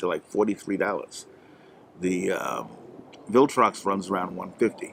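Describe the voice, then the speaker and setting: Here a man talks at a moderate pace. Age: 60s. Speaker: tech video host. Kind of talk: product review. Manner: casual, with many fillers.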